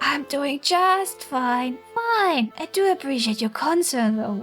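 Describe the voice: A breathy, high-pitched put-on character voice moves at a fairly slow pace with clear music in the background.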